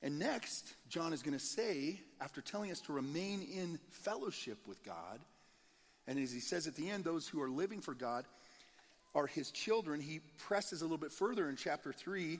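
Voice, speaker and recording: A man with an American accent speaks in a normal speaking voice at a moderate pace. His pitch sits fairly high, and his intonation is lively. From Nebraska, US Midwest. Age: 40s. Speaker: pastor. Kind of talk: sermon. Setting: church.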